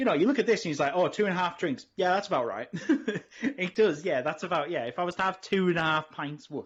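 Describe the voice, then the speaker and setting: Speaking at a very fast pace, a man with an English accent uses lively intonation and a high pitch. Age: middle-aged. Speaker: podcast co-host. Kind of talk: casual chat.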